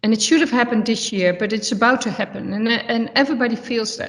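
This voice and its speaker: A woman in a Dutch accent speaks with a fairly high, somewhat breathy voice and fairly even intonation, with audible room echo. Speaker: football manager. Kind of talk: press conference. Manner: halting, searching for words.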